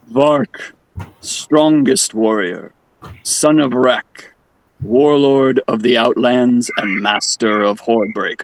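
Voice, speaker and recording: A man puts on a rumbling character voice at a medium pitch. He talks at a very slow pace with very even loudness. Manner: grand, ceremonial.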